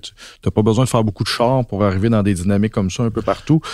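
A man speaks with a Quebec accent, his pitch fairly low. His tone is dark and mellow, and his intonation stays fairly even. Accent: Québécois French. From Quebec, Basses-Laurentides. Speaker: novelist. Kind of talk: casual chat.

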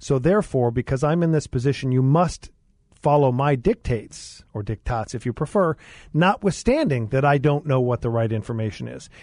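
Using an ordinary speaking voice, a man talks at a fairly quick pace and medium pitch. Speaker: attorney and former mayor. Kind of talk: talk radio discussion. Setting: studio.

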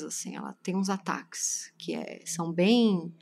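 A woman in an ordinary speaking voice talks at a fairly slow pace with ordinary pitch variation, on a very clean recording with a silent background. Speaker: podcast host and writer. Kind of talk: casual chat.

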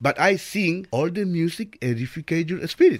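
A fairly high male voice with lively intonation at a moderate pace, on a very clean recording with a silent background. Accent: Spanish. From El Salvador. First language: Spanish. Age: 50s. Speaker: volunteer radio host. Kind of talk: interview.

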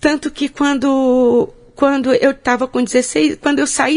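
A woman speaks in a high pitch. Noticeable background noise can be heard. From Bahia, Brazil (Porto Seguro). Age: 50s. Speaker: social entrepreneur and marathon runner. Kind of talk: interview, life story. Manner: halting, with frequent repetitions.

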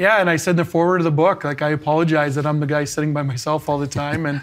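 At a very fast pace, a man speaks at a fairly high pitch with monotone, flat intonation. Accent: Canadian. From Canada. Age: 40s. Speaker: former pro hockey player and teacher. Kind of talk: interview.

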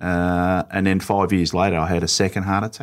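A man with an Australian accent speaks at a moderate pace in a very deep, low pitch, recorded very cleanly against a silent background. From Melbourne western suburbs, Australia. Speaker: state politician. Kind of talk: interview.

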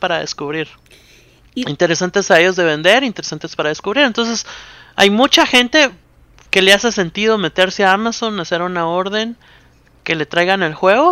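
Speaking at a moderate pace, a man has a high pitch and ordinary pitch variation. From Guatemala. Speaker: board game company public relations. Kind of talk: casual interview.

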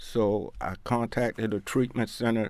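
In an American accent, a man with a plain, everyday voice speaks at a medium pitch and a fairly slow pace with fairly even intonation, in a very clean recording with a silent background. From Baltimore, Maryland (East Baltimore). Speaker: person in long-term addiction recovery. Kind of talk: interview testimony.

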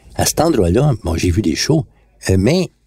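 A man speaks at a moderate pace in a fairly low, dark and mellow voice that is somewhat breathy, with very wide pitch swings and a dry, close sound free of echo. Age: 60s. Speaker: songwriter. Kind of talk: personal storytelling. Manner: casual.

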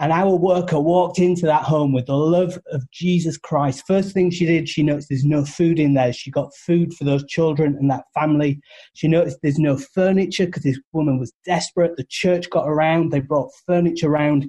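Talking at a fairly quick pace with hardly any pauses, a man with a British accent has a fairly high pitch, a dark, mellow tone, and fairly even intonation, in a dry, close sound with no echo. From United Kingdom. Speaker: charity representative, radio show guest. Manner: earnest, storytelling.

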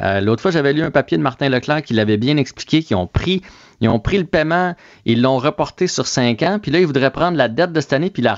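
Over a quiet background, a man talks at a fairly quick pace with lively intonation, the sound dry and close with no echo. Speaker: sports commentator. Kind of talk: casual chat. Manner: animated.

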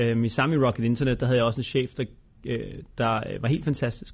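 His voice sits at a mid-range pitch. This man speaks somewhat quickly. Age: 30s. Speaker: entrepreneur and investor. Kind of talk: interview.

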